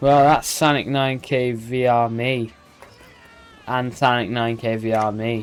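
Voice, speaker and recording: The speaker has an animated tone and a fairly slow pace, with noticeable background noise behind them. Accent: British. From Britain. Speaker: video game streamer. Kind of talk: live stream commentary. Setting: live stream. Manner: casual, animated.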